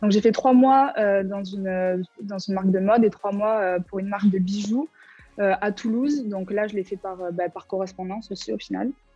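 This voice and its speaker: Over music in the background, a woman speaks at a moderate pace and medium pitch with fairly even intonation. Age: 20s. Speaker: former student, graphic designer. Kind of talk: interview testimony. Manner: casual, hesitant with many fillers.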